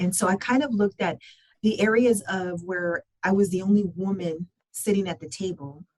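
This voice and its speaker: Somewhat breathy, a woman speaks in a Spanish accent at a medium pitch, with ordinary pitch variation. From Southern California (San Gabriel Valley). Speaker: construction business process manager. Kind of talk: podcast interview.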